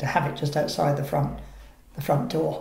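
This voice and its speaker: The pace is moderate. Noticeable background noise sits behind the voice. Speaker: former reserve warden. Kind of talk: oral history interview.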